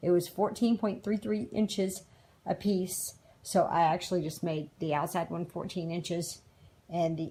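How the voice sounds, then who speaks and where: On a very clean recording with a silent background, a woman speaks at a moderate pace in a fairly low, somewhat breathy voice with a dark, mellow tone. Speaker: DIY camper renovator. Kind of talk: tutorial.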